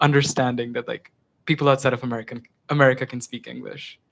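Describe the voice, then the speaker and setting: In an Indian accent, the speaker moves at a fairly quick pace with fairly even intonation, in a dry, close sound with no echo. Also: man. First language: Hindi. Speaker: student, campus tour guide. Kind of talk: student government meeting discussion.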